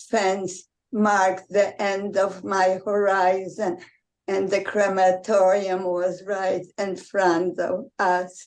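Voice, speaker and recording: Very slowly, a woman talks with monotone, flat intonation. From Poland, Warsaw. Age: 90s. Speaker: Holocaust survivor. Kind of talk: testimony.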